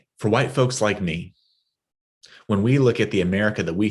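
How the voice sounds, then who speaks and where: A man with a West Texas accent, fairly low pitch and ordinary pitch variation, against a quiet background. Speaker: guest preacher, minister. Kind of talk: sermon.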